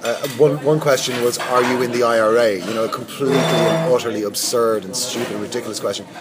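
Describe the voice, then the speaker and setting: A man talking at a very fast pace with an Irish accent, over noticeable background noise. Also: medium pitch for a man, ordinary pitch variation, hardly any pauses. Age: 40s. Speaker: media executive. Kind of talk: interview. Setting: hotel lobby with background noise. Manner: hesitant, many fillers.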